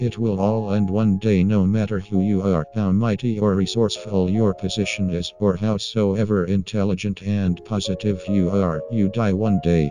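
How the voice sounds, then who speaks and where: Over clear background noise, a man does a put-on character voice with fairly low pitch at a moderate pace, hardly pausing at all. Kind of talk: crude comic parody dubbing. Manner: flat, cold, hostile; somber monologue about death.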